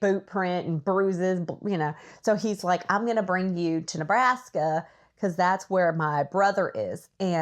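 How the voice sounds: A voice reading naturally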